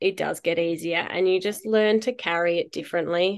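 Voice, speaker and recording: A woman talks at a medium pitch with fairly even intonation. The background is quiet. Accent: Australian. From rural South Australia. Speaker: mother and ultra runner. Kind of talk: interview testimony.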